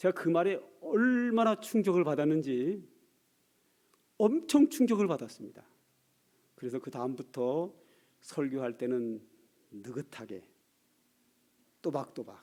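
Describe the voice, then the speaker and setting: A man's fairly high-pitched voice with a dark, mellow tone, very wide pitch swings, a very slow pace and long, frequent pauses. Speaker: pastor. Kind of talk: sermon. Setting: church.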